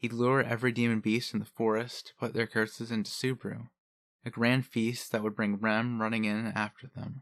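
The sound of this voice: An unforced reading voice set against a quiet background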